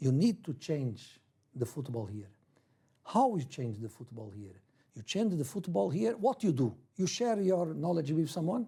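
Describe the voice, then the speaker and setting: A man with a dark, mellow tone and a fairly high pitch speaks at a moderate pace with very wide pitch swings, on a very clean recording with a silent background. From Brazil, then Portugal from age 11. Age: 60s. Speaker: football coach. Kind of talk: interview. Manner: halting non-native English.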